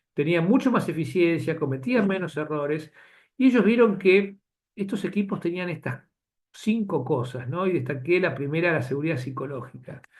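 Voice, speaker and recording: Against a quiet background, a man talks at a high pitch with lively intonation. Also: moderate pace. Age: 60s. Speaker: physician lecturer. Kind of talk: lecture. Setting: webinar video call. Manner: halting.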